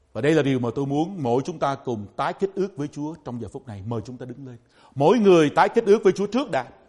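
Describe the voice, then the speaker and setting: With a quiet background, a man speaks very fast at a fairly high pitch. His pitch swings very widely and his loudness shifts a lot. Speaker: pastor. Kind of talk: sermon.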